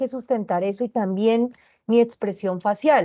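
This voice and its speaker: A dark, mellow tone carries normal pitch movement. Nothing can be heard behind it. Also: woman. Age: 30s. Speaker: teacher. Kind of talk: online tutoring lecture. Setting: recorded video call.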